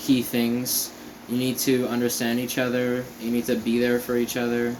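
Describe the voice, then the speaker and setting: A man talks at a fairly slow pace, with audible echo from the room. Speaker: vlogger. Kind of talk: casual vlog monologue. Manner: halting, many fillers.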